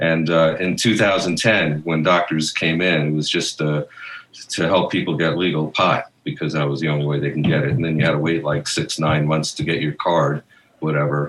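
A man's very deep, low voice holds a fairly even intonation as he talks at a moderate pace. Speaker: cannabis physician. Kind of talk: interview.

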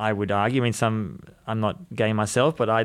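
A man of medium pitch in a very clean recording with a silent background. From Australia. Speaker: journalist and author. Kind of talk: interview.

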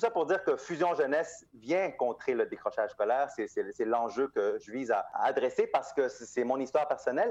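The man keeps a moderate pace and barely pauses at all. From Montreal, Quebec (born in Guatemala). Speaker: nonprofit founder. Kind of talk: interview.

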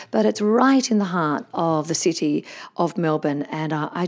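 A woman with an unremarkable speaking voice, fairly low in pitch, with lively intonation. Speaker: podcast host. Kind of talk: casual interview chat.

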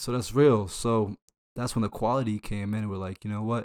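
A man's plain, everyday voice at medium pitch with an American accent, ordinary pitch variation, and a dry, close sound with no echo. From Northern Virginia, Reston. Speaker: podcast co-host. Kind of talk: casual chat.

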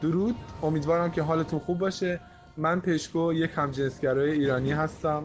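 A man speaks at a moderate pace in a normal speaking voice, his pitch fairly high and his intonation fairly even. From Iran. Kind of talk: recorded opinion voice message.

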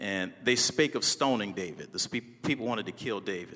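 Recorded very cleanly against a silent background, a man speaks fairly quickly in a medium pitch with a bright, sharp tone. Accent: American. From US South, New Orleans, Louisiana. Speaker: pastor and motivational speaker. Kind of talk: motivational speech. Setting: stage with audience. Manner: animated.

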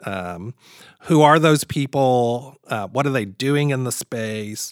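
A man's normal speaking voice, medium-pitched with an American accent and lively intonation, at a fairly slow pace, in a very clean recording that is dry and close with no echo and a silent background. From US South, Kentucky (near Louisville). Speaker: landscape designer. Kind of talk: interview.

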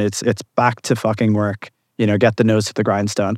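A man with an American accent talks at a fairly quick pace in a fairly low pitch. The sound is dry and close with no echo, and the background is quiet. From outside the US. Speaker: tech startup founder. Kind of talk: event interview. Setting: live conference event. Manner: halting, many repetitions.

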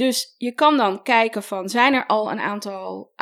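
A woman has an ordinary speaking voice, with fairly high pitch and ordinary pitch variation. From Netherlands (adopted from Colombia as a child). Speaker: style coach. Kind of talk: advice podcast interview.

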